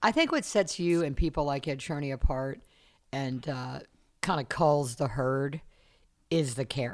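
With an American accent, a woman speaks at a fairly slow pace in a very deep, low pitch with ordinary pitch variation and long, frequent pauses. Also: very clean recording, silent background. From US South, South Carolina. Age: 60s. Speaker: podcast host, studio manager. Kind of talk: casual interview. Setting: recording studio.

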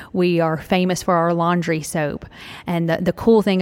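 At a moderate pace, a woman speaks in a fairly low pitch with a Southern US accent. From Tennessee. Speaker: franchise owner, former speech pathologist. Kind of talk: live interview before audience. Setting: retail store with live audience.

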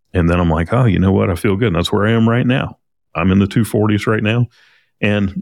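On a very clean recording with a silent background, a man speaks in an unremarkable speaking voice, fairly low in pitch with ordinary pitch variation. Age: 40s. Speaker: podcast host, auto repair marketer. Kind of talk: solo podcast monologue. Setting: studio.

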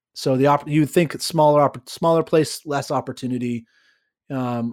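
A man speaks with an American accent and a fairly high pitch. His pace is moderate. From California, San Diego. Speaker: sales trainer, former sales executive. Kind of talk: interview.

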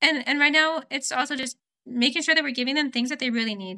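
A woman with a high pitch and an American accent uses a raised, projected voice in a bright, sharp tone, on a very clean recording with a silent background. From US West Coast, Oregon. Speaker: volunteer coordinator. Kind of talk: casual chat.

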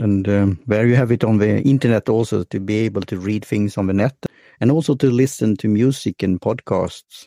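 Against a quiet background, a man with a Swedish accent talks at a fairly quick pace and a fairly low pitch. His tone is dark and mellow, his pitch varies normally, and the sound is dry and close with no echo. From Sweden. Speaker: podcast host. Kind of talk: casual interview. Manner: halting.

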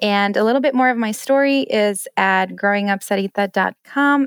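The speaker talks at a moderate pace with an American accent, in an ordinary speaking voice. The sound is dry and close, with no echo. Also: woman, very clean recording, silent background. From Colorado, US (Denver). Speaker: home chef and recipe blogger. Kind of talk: podcast interview.

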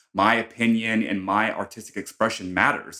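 Bright and sharp in tone, a man with an American accent speaks fairly slowly on a very clean recording with a silent background. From US West Coast, San Diego. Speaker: makeup artist. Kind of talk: interview. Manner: animated.

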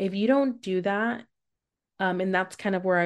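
A woman with a normal speaking voice talks at a medium pitch with ordinary pitch variation against a quiet background. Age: 30s. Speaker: adult educator and podcast host. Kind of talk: casual interview chat.

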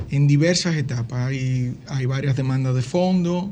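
A man's fairly high, somewhat breathy voice with a dark, mellow tone, a fairly slow pace and audible room echo. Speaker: publishing industry executive. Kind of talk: interview.

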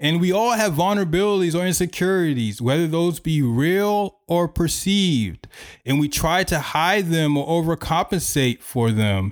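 High-pitched with lively intonation, a man talks at a moderate pace with hardly any pauses and very even loudness. The recording is very clean, with a silent background. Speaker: podcast host. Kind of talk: solo podcast monologue, self-help talk. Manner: casual, conversational, self-deprecating.

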